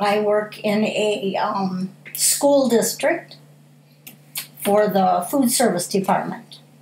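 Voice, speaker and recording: With an American accent, a woman speaks at a very slow pace and a fairly high pitch, leaving long, frequent pauses, with audible room echo around her. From US Midwest, Pontiac, Michigan. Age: 60s. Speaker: school food service worker. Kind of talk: interview.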